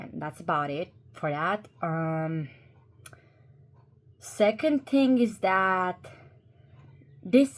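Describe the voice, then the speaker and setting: On a very clean recording with a silent background, a woman with a Croatian accent speaks at a very slow pace and a medium pitch. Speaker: YouTuber. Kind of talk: commentary video. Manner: halting, with fillers and repeats.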